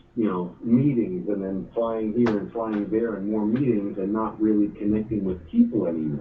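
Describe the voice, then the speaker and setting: A man with an American accent speaks at a moderate pace in a fairly low pitch. His pitch varies in an ordinary way, and the room echo is audible. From New York, Brooklyn. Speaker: mortgage lender. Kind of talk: interview.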